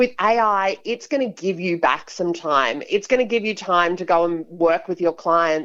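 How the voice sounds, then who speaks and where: In an Australian accent, a woman with medium pitch speaks with lively intonation. Her pace is moderate, and the background is quiet. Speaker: business executive. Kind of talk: radio interview.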